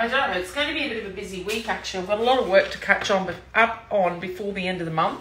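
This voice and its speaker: A woman with an Australian accent and a medium pitch speaks at a fairly quick pace with ordinary pitch variation, against noticeable background noise and audible room echo. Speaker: cooking demonstrator, sales team leader. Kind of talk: live cooking demo stream. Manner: casual, chatty.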